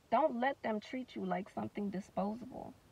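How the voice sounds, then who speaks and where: A woman speaks with lively intonation. The sound is dry, with no echo. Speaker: spoken word poet. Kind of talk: spoken word poetry performance. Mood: earnest, reflective, defiant. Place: car. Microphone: phone near.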